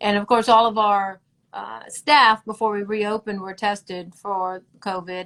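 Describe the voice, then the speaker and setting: With a Southern US accent, a woman talks at a moderate pace in a medium-pitched voice with ordinary pitch variation. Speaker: dermatologist. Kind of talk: live-streamed interview.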